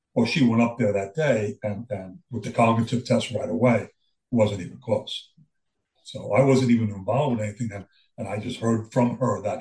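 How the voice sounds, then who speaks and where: Somewhat breathy, a man talks fairly quickly at a medium pitch with fairly even intonation. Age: 70s. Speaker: Alzheimer's caregiver and military veteran. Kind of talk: interview testimony. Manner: halting.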